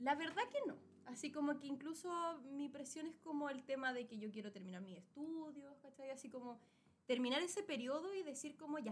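Spoken in a Chilean accent at a fairly quick pace. The intonation is lively. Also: woman. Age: 20s. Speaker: podcast co-host. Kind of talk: casual chat.

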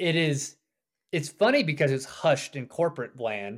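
A man with an unremarkable speaking voice talks with lively intonation and an American accent. His pitch is fairly high. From US South. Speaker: author and off-grid homesteader. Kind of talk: interview.

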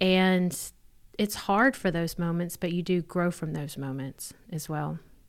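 A woman speaks in a Southern US accent at a fairly slow pace. Her pitch is fairly low, and the recording is very clean with a silent background. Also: ordinary pitch variation. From Mississippi. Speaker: church leader, pastor's wife. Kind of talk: interview testimony.

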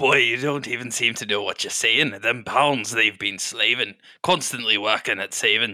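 Putting on a character voice, a man talks at a moderate pace in a medium pitch. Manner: scolding, gruff.

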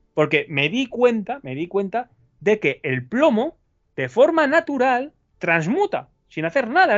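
A man speaks in an extremely high pitch. His pitch swings very widely. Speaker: alchemist. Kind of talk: interview.

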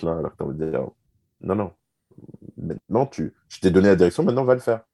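The delivery is very fast, with ordinary pitch variation. The sound is dry and close, with no echo. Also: man. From Switzerland and Canada. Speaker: marketing consultant. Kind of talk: casual interview.

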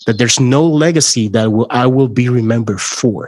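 A man with a Spanish accent talks at a fairly slow pace. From Puerto Rico. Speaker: podcast host. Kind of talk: interview conversation.

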